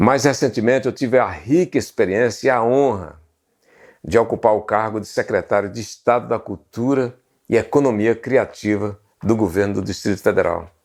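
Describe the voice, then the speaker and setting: An ordinary speaking voice with ordinary pitch variation on a very clean recording with a silent background. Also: man, medium pitch for a man, moderate pace. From Brazil, Pernambuco sertão (Serra Talhada). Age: 60s. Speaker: journalist and history channel host. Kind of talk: documentary narration to camera.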